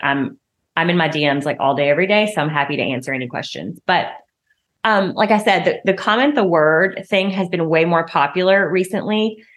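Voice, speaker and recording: This woman has a Southern US accent and a fairly low pitch. Her intonation is lively and her pace moderate. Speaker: podcast host and marketing coach for health and wellness professionals. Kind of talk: podcast episode replaying an Instagram live, tips talk. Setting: recorded Instagram live from phone in home office, some audio issues. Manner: casual, conversational, chatty.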